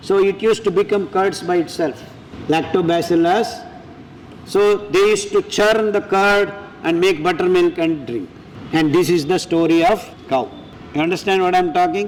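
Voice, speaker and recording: A man's high-pitched voice at a moderate pace, with very even loudness, ordinary pitch variation, long, frequent pauses and noticeable background noise. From Andhra Pradesh, India (Kadapa). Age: 60s. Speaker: food scientist and millet advocate. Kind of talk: health talk to audience. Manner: animated, rhetorical questions.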